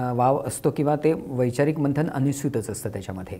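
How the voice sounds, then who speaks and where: In a plain, everyday voice, a man talks with a fairly high pitch. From Kolhapur, Maharashtra, India. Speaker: novelist and playwright. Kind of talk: interview conversation.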